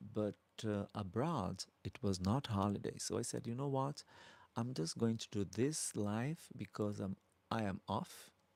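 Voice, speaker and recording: A man's fairly low voice with a Brazilian accent, ordinary pitch variation and a fairly slow pace. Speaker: drag queen YouTuber. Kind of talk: live stream Q&A chat. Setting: live stream. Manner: soft-spoken, polite.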